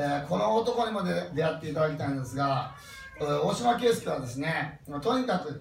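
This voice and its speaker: A man with a Kansai accent talks at a fairly high pitch with very wide pitch swings. Noticeable background noise and audible room echo fill the recording. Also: moderate pace. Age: 50s. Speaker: motivational speaker. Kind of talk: talk to a live audience.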